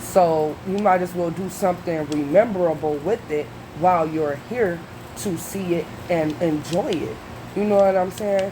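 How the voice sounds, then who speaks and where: A woman speaks in an animated tone at a moderate pace with ordinary pitch variation. Noticeable background noise and audible room echo are present. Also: fairly low pitch for a woman. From US Midwest, Detroit, Michigan. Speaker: reaction video youtuber. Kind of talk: casual commentary monologue.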